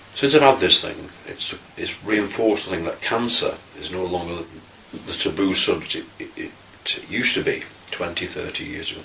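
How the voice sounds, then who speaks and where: Noticeable background noise around a man talking at a moderate pace. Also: big swings in loudness. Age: 60s. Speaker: cancer patient. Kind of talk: testimony. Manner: halting, many fillers and restarts.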